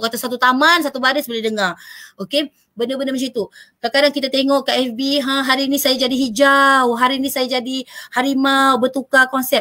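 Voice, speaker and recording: Raised, projected voice of a woman at high pitch, bright and sharp in tone, monotone and flat, at a fairly quick pace. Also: quiet background. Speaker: panel speaker on work-life balance; speaker. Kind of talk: talk show presentation. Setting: online live stream. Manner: loud. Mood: warm, encouraging. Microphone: webcam.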